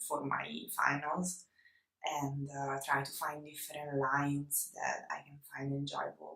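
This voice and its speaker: A woman with an Italian accent talks at a fairly slow pace, her very deep, low pitch paired with a bright, sharp tone. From Italy. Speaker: illustrator. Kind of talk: casual vlog talk to camera. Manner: hesitant, many fillers.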